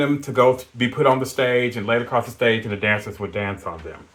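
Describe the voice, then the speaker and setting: A man at a medium pitch and moderate pace, against noticeable background noise. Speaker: podcast co-host. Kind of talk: casual chat. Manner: loud.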